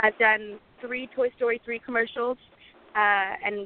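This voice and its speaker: A woman with a British accent speaks in a monotone, flat intonation. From UK, moved from Lebanon at 8. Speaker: singer-songwriter. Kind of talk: casual interview.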